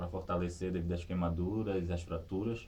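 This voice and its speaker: Audible room echo fills the recording. The voice in it is somewhat breathy. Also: man. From Brazil, Pará (Vigia). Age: 30s. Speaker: sitting volleyball athlete and teacher. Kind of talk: interview testimony. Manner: halting, with repetitions.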